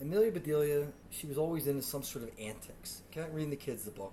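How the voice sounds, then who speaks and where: A man's fairly high, animated voice at a very fast pace, with audible room echo. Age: 30s. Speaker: podcast host. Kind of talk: comedic storytelling.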